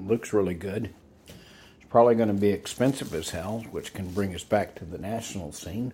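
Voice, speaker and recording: With a Texan accent, a man speaks in a dark, mellow tone at a fairly low pitch. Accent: Texan American. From Texas. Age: 70s. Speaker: vlogger. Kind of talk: casual monologue. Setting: outdoors.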